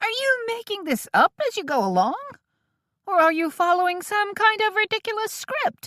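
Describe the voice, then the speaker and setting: A put-on character voice comes out squeaky and extremely high in pitch. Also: moderate pace. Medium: read story. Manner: loud, blustering, folksy exclamations.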